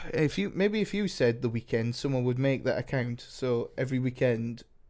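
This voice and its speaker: At a moderate pace, a man with a medium pitch speaks with lively intonation and very even loudness. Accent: Geordie. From northern England, Newcastle. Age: 20s. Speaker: podcast co-host. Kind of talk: casual chat. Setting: home studio with cameras.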